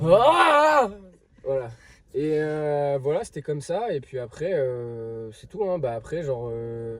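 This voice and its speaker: Speaking at a very slow pace, a man with a fairly high pitch uses lively intonation and big swings in loudness. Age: 20s. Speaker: podcast co-host. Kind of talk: casual chat. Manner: hesitant, filler-heavy.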